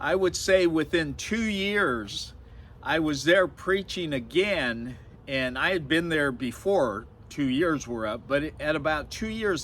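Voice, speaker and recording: A man with a fairly high pitch speaks at a fairly slow pace, his intonation lively. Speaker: street evangelist. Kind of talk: casual talk to camera about evangelism.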